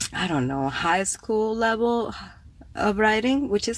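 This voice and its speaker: A woman talks with a Spanish accent. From Cuba. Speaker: poet and writer, podcast host. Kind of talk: casual livestream talk. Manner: casual, with fillers and hesitations.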